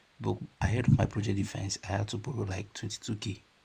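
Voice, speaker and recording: The voice carries vocal fry at a fairly quick pace. Its intonation is monotone and flat. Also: man. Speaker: caller asking for debt advice. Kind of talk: call-in question. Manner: hesitant.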